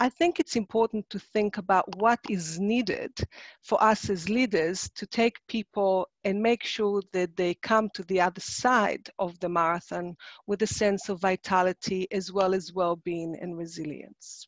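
Fairly slow speech from a woman at a medium pitch, with fairly even intonation, a dry sound with no echo and a quiet background. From Israel. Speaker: psychologist and workshop presenter. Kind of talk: online workshop presentation. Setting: video call. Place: home room. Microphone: webcam.

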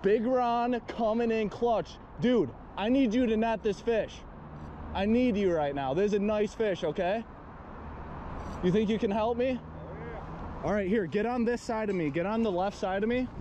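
A man speaks at a high pitch with ordinary pitch variation and a moderate pace. The sound is dry with no echo, and light background noise is present. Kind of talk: excited fishing commentary. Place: waterside. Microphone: phone near.

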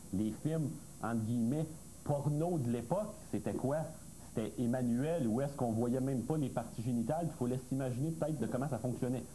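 A man talks in a normal speaking voice at medium pitch with ordinary pitch variation. His loudness stays very even against light background noise. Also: fairly quick pace. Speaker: expert panelist. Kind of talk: TV panel discussion. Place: studio. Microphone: lapel.

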